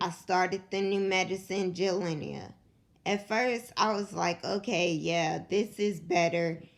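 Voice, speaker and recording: A quiet woman with vocal fry, a fairly low pitch, a fairly slow pace and fairly even intonation. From Kentucky, Louisville. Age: 20s. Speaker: vlogger sharing illness story. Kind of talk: personal testimony. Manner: quiet, struggles to project.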